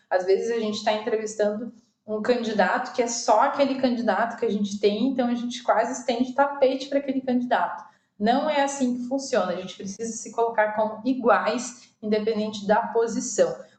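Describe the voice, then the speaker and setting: Intonation here is fairly even. The delivery runs at a fairly quick pace. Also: woman, fairly high pitch for a woman. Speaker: online course instructor in recruitment. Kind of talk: recorded lecture with slides. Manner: many filler hesitations.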